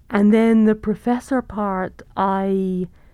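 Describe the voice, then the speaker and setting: With a southern British accent, a woman speaks in a dark, mellow tone. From southern England. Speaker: economics professor. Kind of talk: interview conversation.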